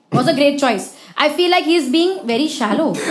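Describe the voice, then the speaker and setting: A woman speaks at a fairly quick pace with a high pitch. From India. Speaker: performer / guest; guest. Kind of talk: casual chat. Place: stage. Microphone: handheld.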